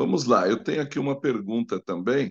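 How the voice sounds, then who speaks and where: A man speaks with lively intonation and an unremarkable speaking voice. The sound is dry and close with no echo, and his pace is fairly quick. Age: 60s. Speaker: live stream host. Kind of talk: live Q&A talk.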